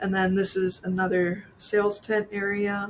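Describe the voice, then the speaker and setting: Somewhat breathy and at medium pitch, a woman speaks with a slight Pennsylvania accent in a monotone, flat intonation. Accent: slight Pennsylvania accent on some words. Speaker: orchid vlogger. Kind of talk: casual vlog voiceover.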